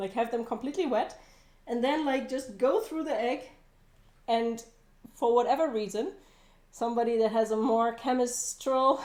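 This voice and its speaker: Speaking at a moderate pace with long, frequent pauses, a woman with a German accent uses a high pitch and ordinary pitch variation. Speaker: cooking livestreamer. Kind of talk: casual livestream cooking chat.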